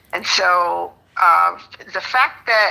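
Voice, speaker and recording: A woman speaks over noticeable background noise. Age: 60s. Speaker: spiritual seeker sharing her story. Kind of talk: casual group chat on a live stream. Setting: live stream. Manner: halting.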